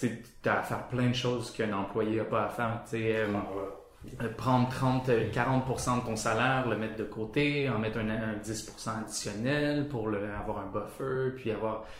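A man speaks very slowly at medium pitch with fairly even intonation and hardly any pauses. The recording carries noticeable background noise and audible room echo. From Quebec, Sherbrooke. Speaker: motion designer. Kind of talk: casual interview. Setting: studio office.

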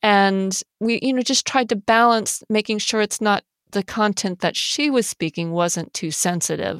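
A woman's voice at a medium pitch. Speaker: podcast creator, mother. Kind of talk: interview conversation.

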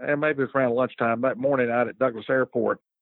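With a Southern US accent, a man talks with fairly even intonation. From North Carolina, Lexington. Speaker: judge and former lawyer. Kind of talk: interview.

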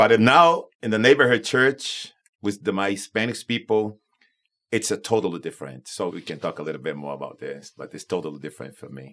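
Fairly quick and full of vocal fry, a man's voice swings very widely in pitch and heavily in loudness. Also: fairly low pitch for a man. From Brazil, Manaus. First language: Portuguese. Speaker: pastor of Spanish-language church. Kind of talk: casual panel discussion.

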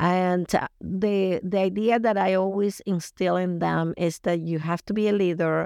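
A woman's fairly low voice with a Colombian accent, at a fairly slow pace, dry and close with no echo, over a quiet background. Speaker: youth group leader. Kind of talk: casual interview chat.

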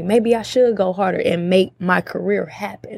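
This woman has an unremarkable speaking voice, medium in pitch with ordinary pitch variation. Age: 20s. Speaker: podcast guest. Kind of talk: casual chat.

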